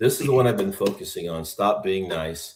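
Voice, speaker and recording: This man has a fairly low, somewhat breathy voice with an American accent. He speaks at a moderate pace. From Texas. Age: 60s. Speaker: podcast host. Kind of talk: interview conversation.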